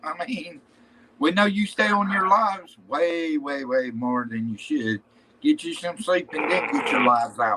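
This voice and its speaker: A man's high-pitched voice in an American accent, with very wide pitch swings and a fairly slow pace, over noticeable background noise. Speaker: live stream host. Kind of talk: casual chat.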